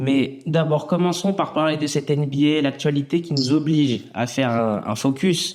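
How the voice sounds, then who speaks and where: At a moderate pace, a man with a fairly high pitch for a man and an unremarkable speaking voice talks with ordinary pitch variation. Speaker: podcast host. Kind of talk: podcast interview intro.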